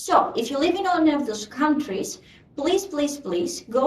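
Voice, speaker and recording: In a Greek accent, a woman talks at a moderate pace with very wide pitch swings. Audible room echo and noticeable background noise are present. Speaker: community meeting host. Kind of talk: online meeting update. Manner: hesitant, many fillers.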